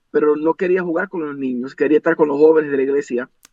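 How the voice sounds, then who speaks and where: This is a man speaking. He has an English accent. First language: English (speaking Spanish). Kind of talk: interview.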